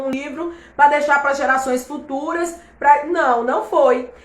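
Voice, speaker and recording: A woman's high, animated voice at a fairly slow pace, with audible room echo and noticeable background noise. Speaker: Bible teacher. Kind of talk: online Bible class livestream. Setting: live stream.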